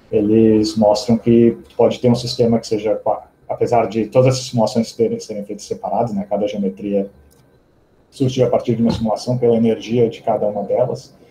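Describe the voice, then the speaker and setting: A man speaks at a medium pitch and a fairly quick pace. His tone is dark, mellow and somewhat breathy, with fairly even intonation. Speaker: physicist giving a seminar. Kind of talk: academic seminar talk. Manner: fast.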